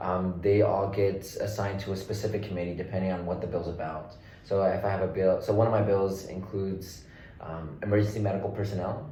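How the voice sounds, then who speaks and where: A man with a fairly low pitch speaks in an American accent, his intonation monotone and flat. Audible room echo and noticeable background noise surround his voice. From Oklahoma City, Oklahoma. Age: 20s. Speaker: state legislator. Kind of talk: interview.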